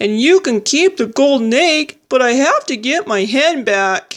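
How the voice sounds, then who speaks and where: A woman speaks in a put-on character voice, high-pitched and at a moderate pace. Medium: read story.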